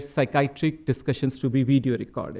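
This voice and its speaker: This man has a dark, mellow tone and speaks with an Indian accent. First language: Hindi. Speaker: psychiatrist presenting research. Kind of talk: conference presentation. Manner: halting, many fillers.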